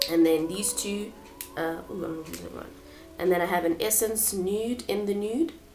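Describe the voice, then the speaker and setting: Medium-pitched woman's voice amid noticeable background noise. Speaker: beauty vlogger. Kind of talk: product walkthrough. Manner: hesitant, many fillers.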